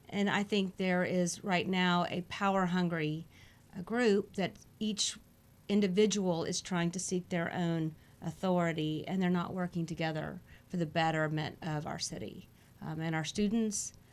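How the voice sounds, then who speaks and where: In an American accent, a woman talks at a moderate pace with fairly even intonation. Hers is an unremarkable speaking voice. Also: fairly low pitch for a woman. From Houston, Texas. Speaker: school board candidate. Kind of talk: interview.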